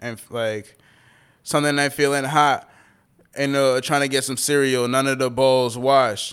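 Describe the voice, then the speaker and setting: Recorded very cleanly against a silent background, a man with an American accent speaks at a moderate pace in a medium pitch, his intonation monotone and flat while his loudness swings widely. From Tampa Bay, Florida. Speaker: hip-hop artist. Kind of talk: casual interview conversation.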